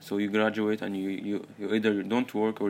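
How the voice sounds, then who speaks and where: A man with an Arabic accent, fairly low pitch, a fairly quick pace and monotone, flat intonation. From Saudi Arabia. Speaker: podcast host, university student. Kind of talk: solo monologue, personal story. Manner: halting, many repetitions and fillers.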